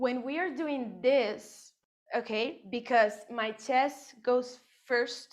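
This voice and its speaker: With a Spanish accent, a woman speaks very slowly at a high pitch, her pitch varying in an ordinary way. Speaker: dance teacher. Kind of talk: dance class instruction. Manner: rhythmic counting.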